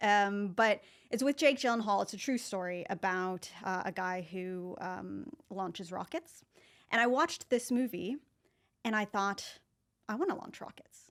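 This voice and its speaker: An ordinary speaking voice: a woman with an American accent and medium pitch talks at a fairly slow pace with ordinary pitch variation and big swings in loudness, in a very clean recording with a silent background. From US, Northern California. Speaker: marketing professor. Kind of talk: podcast interview. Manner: casual, with many fillers.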